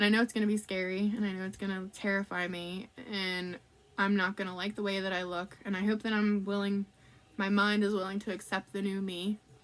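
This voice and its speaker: A woman at medium pitch and a fairly quick pace, in a monotone, flat intonation. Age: 30s. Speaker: vlogger. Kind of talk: personal vlog. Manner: casual, many fillers.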